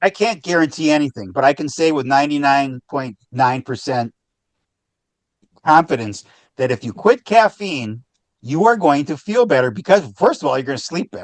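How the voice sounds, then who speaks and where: A man with a fairly high voice speaks at a moderate pace, his pitch swinging very widely, in a dry, close sound with no echo. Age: 60s. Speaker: author and founder, caffeine-free advocate. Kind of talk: podcast interview. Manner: repetitive, halting restarts.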